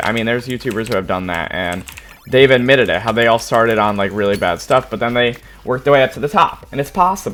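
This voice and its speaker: Very fast speech over noticeable background noise. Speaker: YouTuber. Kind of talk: live Q&A. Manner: casual, many fillers.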